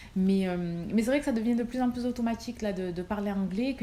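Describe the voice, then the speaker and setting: Against noticeable background noise, a woman talks fairly quickly at a fairly high pitch with fairly even intonation. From Marseille, southern France. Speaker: nurse and vlogger. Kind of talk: casual Q&A vlog. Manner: hesitant, many fillers.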